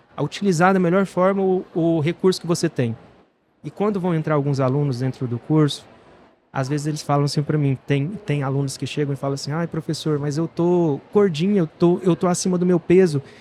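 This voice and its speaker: A man talks at a fairly quick pace in a dark, mellow tone. His pitch is fairly high, with ordinary variation. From Goiás, central Brazil (Trindade). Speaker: physiotherapist and course teacher. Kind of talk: interview. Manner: animated.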